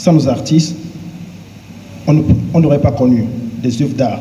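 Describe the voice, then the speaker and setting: Over noticeable background noise and audible room echo, a man talks at a moderate pace in a fairly high pitch. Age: 20s. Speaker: pageant contestant. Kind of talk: prepared self-presentation speech. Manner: formal.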